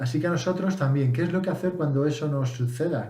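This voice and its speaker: A man with ordinary pitch variation and audible room echo. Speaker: English teacher vlogger. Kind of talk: casual tutorial. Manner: hesitant, with fillers and self-corrections.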